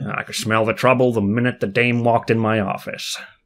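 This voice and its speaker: A man uses a put-on character voice at a medium pitch, talking at a fairly quick pace. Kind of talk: hard-boiled noir narration.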